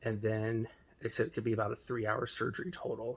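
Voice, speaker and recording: Somewhat breathy and medium in pitch, a man talks at a fairly quick pace with ordinary pitch variation. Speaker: vlogger. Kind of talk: casual vlog. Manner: halting, many fillers.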